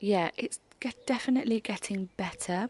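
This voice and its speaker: The speaker is a woman. Her accent is British. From UK. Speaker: homemaking vlogger. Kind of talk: casual vlog narration. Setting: outdoors in garden. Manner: soft-spoken.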